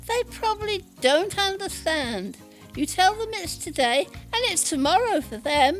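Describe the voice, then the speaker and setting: Over clear background music, a woman in a put-on character voice speaks at a moderate pace with an extremely high pitch. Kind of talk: audio drama.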